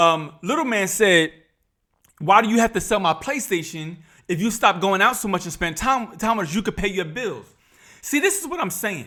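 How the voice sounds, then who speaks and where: A man's raised, projected voice, high-pitched with a bright, sharp, animated tone and lively intonation, at a moderate pace with long, frequent pauses, on a very clean recording with a silent background. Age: 50s. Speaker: YouTube reaction commentator. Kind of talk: reaction commentary.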